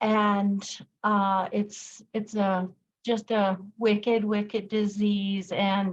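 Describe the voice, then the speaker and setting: A woman talks very slowly at a medium pitch, her intonation monotone and flat, her loudness very even, and her voice somewhat breathy. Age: 60s. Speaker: product user sharing testimony. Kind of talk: testimony.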